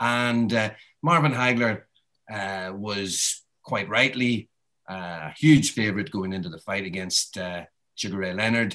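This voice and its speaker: Over a quiet background, a man in a Northern Irish accent speaks with a bright, sharp tone, fairly low pitch, ordinary pitch variation and a fairly slow pace. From Northern Ireland. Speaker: boxing author and journalist. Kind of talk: interview.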